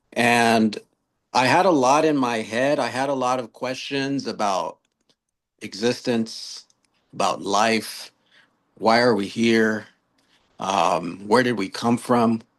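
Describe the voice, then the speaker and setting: A man at a medium pitch, very slow pace with long, frequent pauses, ordinary pitch variation, and a quiet background. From US West Coast, Long Beach, California. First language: Spanish. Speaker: author and youth mentor. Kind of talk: podcast interview.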